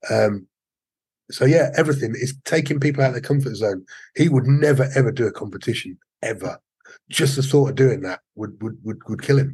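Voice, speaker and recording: Fairly quick, somewhat breathy speech from a man at medium pitch with ordinary pitch variation. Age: 50s. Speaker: martial arts instructor. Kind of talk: casual interview.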